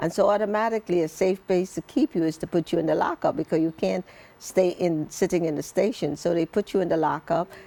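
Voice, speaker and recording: Pitched fairly low, a woman talks very fast with ordinary pitch variation and a dark, mellow tone. The sound is dry and close, with no echo. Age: 60s. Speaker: author sharing life story. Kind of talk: interview testimony.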